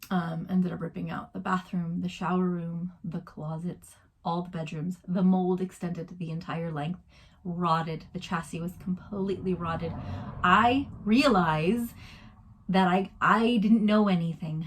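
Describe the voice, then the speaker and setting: A woman with an American accent speaks at a moderate pace in a fairly low, somewhat breathy voice with fairly even intonation. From USA. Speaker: vlogger. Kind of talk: casual vlog.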